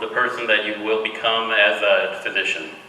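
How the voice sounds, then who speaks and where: Someone with an American accent speaks at a fairly slow pace. Audible room echo and noticeable background noise accompany the voice. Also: man. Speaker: hospital director. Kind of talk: speech to new medical students.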